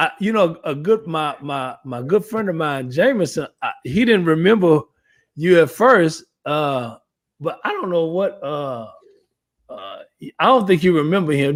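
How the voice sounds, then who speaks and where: Big swings in loudness and very wide pitch swings mark this moderate-paced speech. The recording is very clean, with a silent background. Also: man. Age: 50s. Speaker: talk show host and bus driver. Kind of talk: casual chat.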